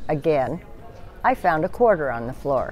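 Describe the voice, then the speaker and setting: There is music in the background. Over it, a woman talks at a fairly slow pace. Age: 70s. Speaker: former theater cashier. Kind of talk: interview.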